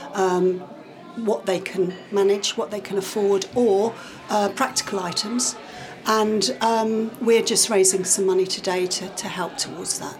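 Against noticeable background noise, a woman talks at a fairly slow pace with a medium pitch and fairly even intonation. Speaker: parish council clerk. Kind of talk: casual interview chat. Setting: village hall event.

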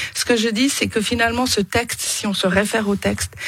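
A woman's medium-pitched voice shows ordinary variation. Behind her, noticeable background noise can be heard. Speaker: politician and poultry farmer. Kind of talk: radio interview debate. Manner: hesitant with fillers and repetitions.

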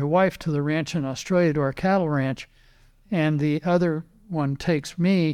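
Over a very clean recording with a silent background, a man with an American accent uses a normal speaking voice at a fairly high pitch and a moderate pace. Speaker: racing driver and car builder. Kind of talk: interview. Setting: in his workshop.

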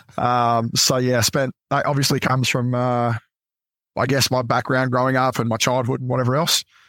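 A man speaks at a medium pitch with an Australian accent. His intonation is monotone and flat, and the sound is dry and close with no echo. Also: moderate pace, very even loudness. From Adelaide, South Australia. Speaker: former navy clearance diver. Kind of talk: casual interview chat.

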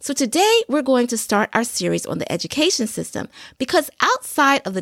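A woman speaks with very wide pitch swings and vocal fry. The sound is dry and close, with no echo. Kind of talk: solo podcast monologue.

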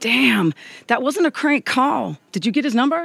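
At a moderate pace, a woman in a put-on character voice speaks at a high pitch with big pitch swings, a fairly bright tone, a slightly husky edge and vocal fry.

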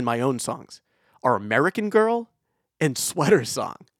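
The speaker has a plain, everyday voice, lively intonation and a moderate pace. The recording is very clean and silent in the background, with a dry, close sound and no echo. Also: man. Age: 30s. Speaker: podcast host and musician. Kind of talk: casual chat.

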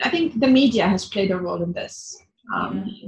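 A woman with an Arabic accent talks at a fairly quick pace. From northern Syria (Idlib). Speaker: journalist and activist. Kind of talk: interview. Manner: halting, with many fillers.

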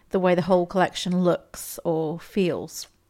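A woman talks at a medium pitch and a moderate pace. Music plays behind her. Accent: English. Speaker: podcast host, novelist and poet. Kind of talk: podcast talk with poetry tips.

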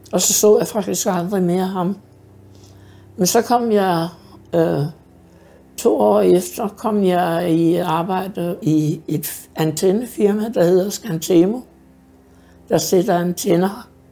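With a dark, mellow tone and a fairly low pitch, a woman speaks at a very slow pace, with long, frequent pauses and ordinary pitch variation. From Denmark, Hobro area. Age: 60s. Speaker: care home resident. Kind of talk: life story interview. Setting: in her apartment. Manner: hesitant with fillers.

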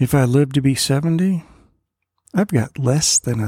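Dry and close with no echo, a man's somewhat breathy voice has a dark, mellow tone at medium pitch with ordinary variation. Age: 60s. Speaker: preacher. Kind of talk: devotional sermon.

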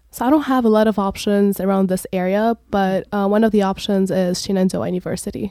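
Dry and close with no echo, a woman's dark, mellow voice moves at a fairly quick pace with hardly any pauses. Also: medium pitch for a woman, ordinary pitch variation. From Lebanon. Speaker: college student. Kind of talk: interview. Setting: studio.

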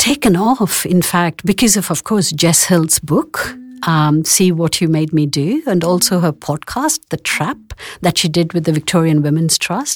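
With a plain, everyday voice and fairly low pitch, a woman speaks at a fairly slow pace and lively intonation in a dry, close sound with no echo. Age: 50s. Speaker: clinical psychologist. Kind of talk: casual chat.

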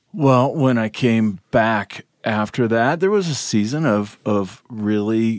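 A man with a plain, everyday voice speaks at a fairly slow pace in a fairly low pitch with lively intonation, in a very clean recording with a silent background. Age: 40s. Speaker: retreat participant sharing testimony. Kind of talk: testimony.

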